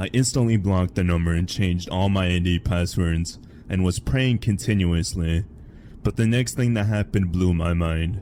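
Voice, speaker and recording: A man's very deep, low voice at a moderate pace, with very even loudness and ordinary pitch variation. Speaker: horror story narrator. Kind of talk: horror story reading. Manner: stutters a little, some misspoken words.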